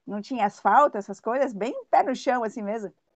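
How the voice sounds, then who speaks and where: A woman with a plain, everyday voice, fairly high pitch and ordinary pitch variation, in a dry, close sound with no echo. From Brazil, São Paulo. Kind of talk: interview.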